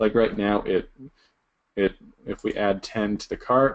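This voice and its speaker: A man talks at a fairly low pitch. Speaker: online seller teaching a sourcing class. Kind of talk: screen-share tutorial. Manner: fast.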